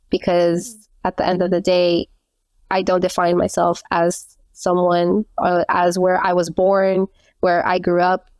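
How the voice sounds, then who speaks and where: At a fairly slow pace, a woman with an American accent speaks in a fairly low pitch, with monotone, flat intonation, very even loudness, and a dry, close sound with no echo. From Colombian household in the US. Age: 30s. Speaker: travel entrepreneur. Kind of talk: podcast interview.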